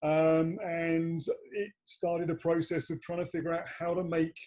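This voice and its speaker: Intonation holds fairly even. The voice has a dark, mellow tone. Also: man. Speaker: PR and marketing founder. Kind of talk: livestream interview. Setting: video call.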